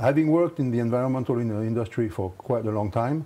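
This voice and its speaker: Speaking very fast in a French accent, a man has a medium pitch and a dark, mellow tone. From France. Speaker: company executive. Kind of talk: interview. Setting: studio. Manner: halting.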